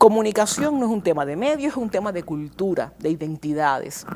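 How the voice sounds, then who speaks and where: A woman at a fairly quick pace, with very wide pitch swings. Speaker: communication scholar. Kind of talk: TV interview. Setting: TV studio. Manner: fast.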